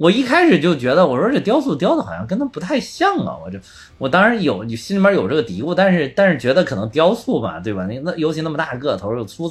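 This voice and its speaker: A man's fairly high voice at a very fast pace, with very wide pitch swings and vocal fry. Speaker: podcast co-host. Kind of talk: casual chat. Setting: remote online recording.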